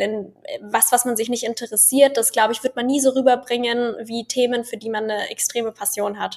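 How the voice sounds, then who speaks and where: This woman speaks at a fairly quick pace in a high voice, her intonation fairly even. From Bavaria (Munich). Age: 20s. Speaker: medical student and social media creator. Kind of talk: casual interview.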